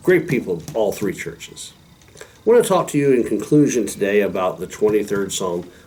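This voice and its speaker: Against noticeable background noise, a man with a fairly low pitch speaks with lively intonation. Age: 60s. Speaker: pastor. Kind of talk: devotional talk. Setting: recorded video with a helper.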